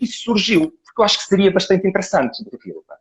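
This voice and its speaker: A man with a European Portuguese accent talks at a very fast pace, his pitch rising and falling in an ordinary way. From Portugal. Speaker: live stream host, dog owner. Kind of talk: live interview. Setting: live video call.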